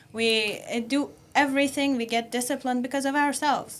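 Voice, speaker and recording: A high-pitched woman with a non-native accent, at a moderate pace. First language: not English. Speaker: podcast panelist. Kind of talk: panel discussion. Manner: halting, many fillers.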